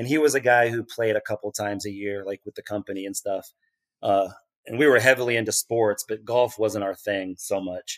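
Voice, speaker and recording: A man with a normal speaking voice and an American accent, medium in pitch, fairly quick in pace, fairly even in intonation, with big swings in loudness and a dry, close sound with no echo. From Kansas City area, US Midwest. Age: 40s. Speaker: golf course superintendent. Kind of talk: interview.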